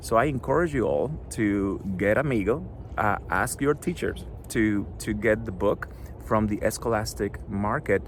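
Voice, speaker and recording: A man speaks with a Spanish accent. His fairly low voice makes very wide pitch swings. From Cuba. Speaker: children's book author. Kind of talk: author talk to schoolchildren. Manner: hesitant, with many fillers.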